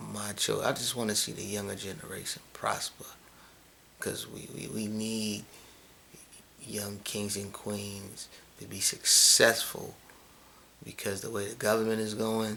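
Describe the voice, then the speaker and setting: In a room with audible echo, a man with a fairly low voice speaks in a monotone, flat intonation at a fairly slow pace, with long, frequent pauses. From New York City. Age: 30s. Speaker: vlogger, fitness trainer. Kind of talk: casual vlog monologue. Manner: halting, repetitive.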